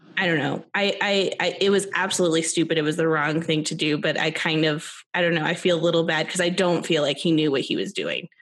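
A woman with an American accent rattles along at a very fast pace and fairly low pitch, her loudness very even and hardly any pauses. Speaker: podcast co-host. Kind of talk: casual chat. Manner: animated.

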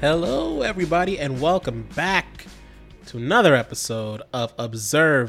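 With music in the background, a man speaks in very wide pitch swings. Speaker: podcast host.

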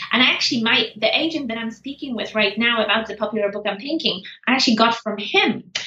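A woman with a fairly high pitch speaks at a very fast pace against noticeable background noise. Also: ordinary pitch variation. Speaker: positive psychologist and senior lecturer. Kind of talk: casual interview. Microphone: poor audio quality.

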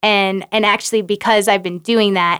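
A woman talks in a normal speaking voice at a moderate pace, in a very clean recording with a silent background. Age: 30s. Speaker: former Olympic skier, wedding photographer. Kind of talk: casual chat.

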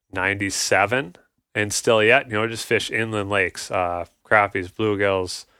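In a very clean recording with a silent background, a man with an Upper Midwest accent speaks at a fairly low pitch in a bright, sharp tone. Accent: Upper Midwest (Minnesota). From Minnesota, north Twin Cities suburbs. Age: 30s. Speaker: angler. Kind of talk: casual chat.

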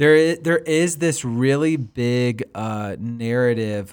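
In a very clean recording with a silent background, a man speaks very slowly at a medium pitch with ordinary pitch variation. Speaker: podcast co-host. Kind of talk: casual chat. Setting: studio.

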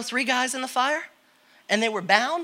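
A man's raised, projected voice with ordinary pitch variation. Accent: American. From Connecticut, US Northeast. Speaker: guest preacher. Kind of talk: sermon.

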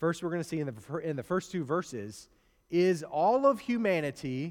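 Lively intonation in a Midwestern US accent, in a very clean recording with a silent background. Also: man. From US Midwest. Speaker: preacher. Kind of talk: sermon. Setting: church. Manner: conversational, storytelling.

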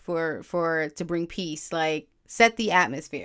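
In a very clean recording with a silent background, a woman with an American accent speaks at a fairly slow pace in a fairly low pitch with fairly even intonation. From New York City, Harlem. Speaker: podcast host. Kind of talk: casual monologue with prayer.

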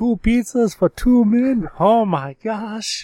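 With an Italian accent in a put-on character voice, a man speaks at a high pitch and a very slow pace in a dry, close sound with no echo.

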